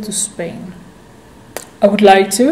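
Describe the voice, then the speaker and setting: With a Dutch accent, the speaker goes at a very slow pace, with audible room echo and noticeable background noise. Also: woman. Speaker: vlogger. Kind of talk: casual Q&A vlog. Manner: halting.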